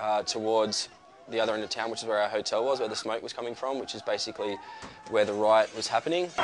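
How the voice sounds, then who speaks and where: Through noticeable background noise, a man speaks at a very fast pace with a medium pitch. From Australia. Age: 20s. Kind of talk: interview answer.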